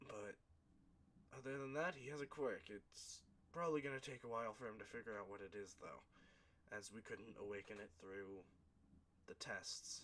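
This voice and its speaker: A raspy, put-on character voice moves at a moderate pace with ordinary pitch variation and long, frequent pauses, against clear background noise. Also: man, medium pitch for a man. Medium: read story. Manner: hesitant, explanatory.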